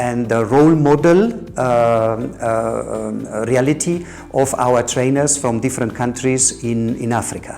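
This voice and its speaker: The pitch varies in an ordinary way. Music plays in the background. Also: man. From Germany. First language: German. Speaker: peace educator. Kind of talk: interview. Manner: halting, many repetitions.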